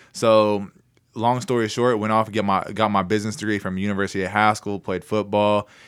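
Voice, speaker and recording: Speaking with an American accent, a man moves at a fairly quick pace. His fairly low pitch stays monotone and flat in intonation. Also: very clean recording, silent background. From Oklahoma, Anadarko area. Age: 20s. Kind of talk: casual chat. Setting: studio.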